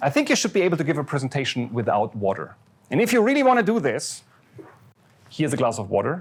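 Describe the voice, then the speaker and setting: Speaking at a very fast pace yet with long, frequent pauses, a man uses a fairly high, somewhat breathy voice with very wide pitch swings. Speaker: professor. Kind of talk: lecture. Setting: lecture hall with audience.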